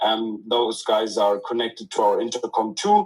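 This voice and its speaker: Speaking fairly slowly, a man is heard. He has a non-native accent. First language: not English. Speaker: crypto company team member. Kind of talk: casual chat. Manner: halting.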